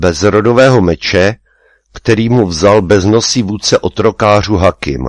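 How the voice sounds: The reading voice sounds natural, with pitch that varies about as much as usual.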